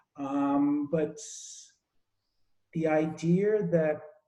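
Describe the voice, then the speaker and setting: Amid audible room echo, a man speaks with lively intonation, his fairly high voice somewhat breathy and dark, mellow in tone. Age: 60s. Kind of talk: group discussion. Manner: halting, repeats words.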